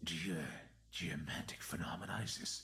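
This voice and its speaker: A man whispering in a put-on character voice at a moderate pace. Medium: actual play. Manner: halting, stammering.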